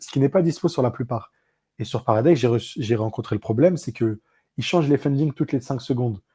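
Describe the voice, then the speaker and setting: A man talks at a fairly quick pace in a dark, mellow, somewhat breathy tone. The sound is dry and close with no echo, and the recording is very clean with a silent background. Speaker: crypto podcast host. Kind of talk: casual podcast explainer. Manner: fast; animated.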